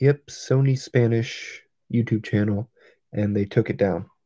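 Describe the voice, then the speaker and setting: Quiet and somewhat breathy, a man speaks very slowly at medium pitch with ordinary variation, his tone dark and mellow, the sound dry and close with no echo. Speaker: toy collector livestreamer. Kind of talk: casual livestream chat. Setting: livestream. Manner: quiet, subdued.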